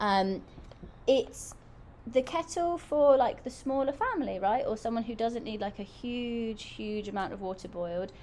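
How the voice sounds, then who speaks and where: A woman with an English accent talks at a moderate pace in a fairly high pitch, her intonation lively. Her loudness swings widely, and background noise is noticeable. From England. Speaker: product reviewer on a livestream. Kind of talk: live product review stream. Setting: live stream. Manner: animated.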